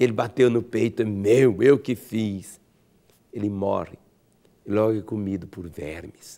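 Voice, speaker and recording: A man with a dark, mellow tone and fairly low pitch talks at a fairly slow pace, his loudness swinging widely between long, frequent pauses. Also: ordinary pitch variation. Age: 60s. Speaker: pastor. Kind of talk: sermon. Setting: radio program.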